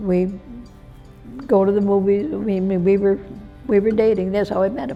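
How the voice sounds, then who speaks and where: A woman speaks at a medium pitch while music plays in the background. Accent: American. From upstate New York. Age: 80s+. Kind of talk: life story interview answer. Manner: cheerful.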